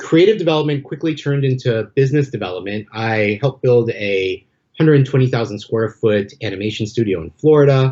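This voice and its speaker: Talking at a very fast pace, a man has an American accent. His voice is somewhat breathy. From Los Angeles, US West Coast. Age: 40s. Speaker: MBA graduate, entertainment development professional. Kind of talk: podcast interview. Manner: some hesitations and repeated words.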